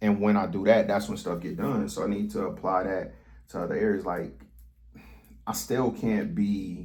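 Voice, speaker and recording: Audible room echo surrounds the voice. A man is speaking at a moderate pace. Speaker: vlogger. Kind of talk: casual monologue vlog. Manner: stuttering, stammering; rambling, halting.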